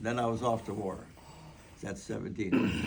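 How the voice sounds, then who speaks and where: At a moderate pace, a voice with an American accent comes through over noticeable background noise. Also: man. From US Upper Midwest, Minnesota. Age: 90s. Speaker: war veteran. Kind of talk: testimony. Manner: halting, many repetitions.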